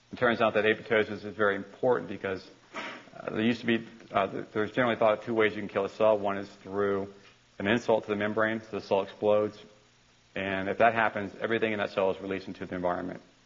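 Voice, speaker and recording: A man with a fairly low voice rattles along at a very fast pace in a monotone, flat delivery over noticeable background noise. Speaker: university lecturer. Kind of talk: lecture. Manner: halting, with repeated words.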